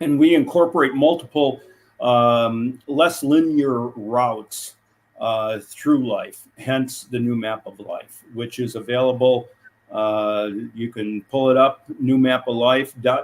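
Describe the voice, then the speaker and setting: Speaking very slowly, a man with an American accent keeps a fairly even intonation. His loudness swings widely. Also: medium pitch for a man. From United States. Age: 70s. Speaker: executive coach and older-age advocate. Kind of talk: interview.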